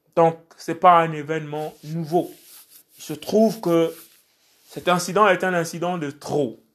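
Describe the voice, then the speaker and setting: A man with a high voice speaks at a very slow pace, with long, frequent pauses and fairly even intonation. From Gabon, Port-Gentil. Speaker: preacher. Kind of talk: sermon.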